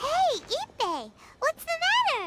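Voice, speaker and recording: This put-on character voice is squeaky and bubbly, pitched extremely high, with very wide pitch swings. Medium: video game. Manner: bubbly, chatty; talks about herself in third person.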